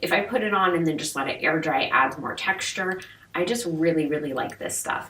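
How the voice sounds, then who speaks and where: A woman speaks at a very fast pace, with audible room echo and noticeable background noise. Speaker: beauty vlogger. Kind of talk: product review vlog. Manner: casual, chatty. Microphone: mic was off, poor audio quality.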